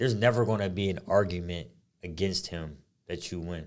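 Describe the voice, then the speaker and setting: On a very clean recording with a silent background, a man with an American accent and a plain, everyday voice speaks at a moderate pace with ordinary pitch variation. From Harrisburg, Pennsylvania, US. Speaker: podcast co-host, former basketball player. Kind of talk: casual chat.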